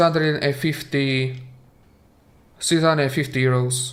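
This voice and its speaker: A man speaks with a Slovak accent. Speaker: video game streamer. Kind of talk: live stream commentary. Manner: halting, with repetitions.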